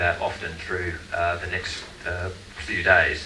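The man's pitch is very deep and low. Audible room echo and light background noise surround his voice. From Australia (Queensland). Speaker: tourism marketing director. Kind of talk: conference presentation. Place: stage.

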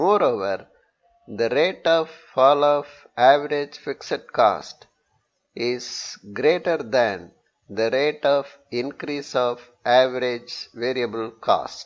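Speaking at a slow pace, a man uses lively intonation at a medium pitch.

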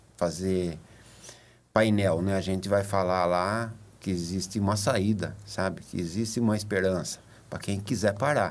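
A man speaks in a fairly low pitch. His intonation stays fairly even. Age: 50s. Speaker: recovering addict, support group member. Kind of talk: testimony. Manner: halting, many fillers. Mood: earnest, reflective. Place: studio. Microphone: studio mic.

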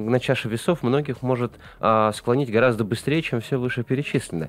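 A man with an unremarkable speaking voice talks at a fairly quick pace and medium pitch, with ordinary pitch variation, in dry sound with no echo. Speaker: radio and TV talk show host; radio, TV talk show host. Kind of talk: live studio interview. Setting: studio. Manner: verbose, talkative. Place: studio. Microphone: studio mic.

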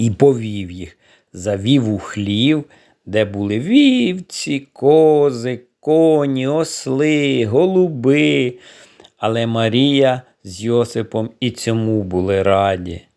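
On a very clean recording with a silent background, a man with a dark, mellow, gentle and soothing tone speaks at a very slow pace, using lively intonation and big swings in loudness. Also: medium pitch for a man. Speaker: storyteller. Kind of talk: bedtime story narration for children. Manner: gentle, slow, soothing.

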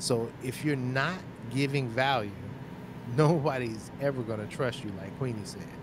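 The man's loudness jumps around a lot as he keeps a moderate tempo, and background noise is clearly present. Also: ordinary pitch variation, dry sound with no echo. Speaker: podcast host. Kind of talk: casual chat. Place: home room. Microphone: studio mic.

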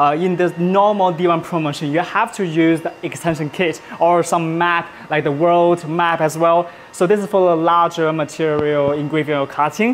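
Over light background noise, a man with a high-pitched voice talks at a moderate pace with fairly even intonation. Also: hardly any pauses. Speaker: livestream host demonstrating laser products. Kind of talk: livestream product demo and sales pitch. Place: studio. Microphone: lapel.

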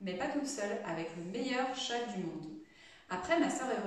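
Lively intonation marks this reading, done aloud in a natural voice.

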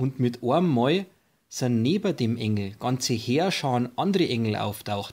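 In a very clean recording with a silent background, a man with an Upper Bavarian accent speaks fairly slowly at a medium pitch with lively intonation. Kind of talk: Bible story reading.

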